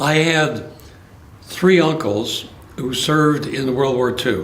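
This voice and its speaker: Noticeable background noise and audible room echo surround a man's voice. He speaks at a very slow pace with fairly even intonation. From Los Angeles, California. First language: Spanish. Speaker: retired judge. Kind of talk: oral history interview. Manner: halting.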